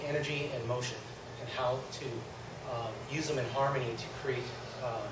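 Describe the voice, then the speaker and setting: The pace is moderate throughout. There's audible echo from the room along with noticeable background noise. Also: man. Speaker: martial arts instructor. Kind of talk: instruction to seminar class. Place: gym.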